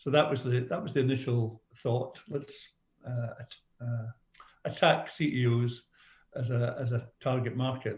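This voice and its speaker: A somewhat breathy man with a Scottish accent, medium in pitch, with fairly even intonation and a fairly slow pace. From Scotland. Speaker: business coach. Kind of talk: podcast interview.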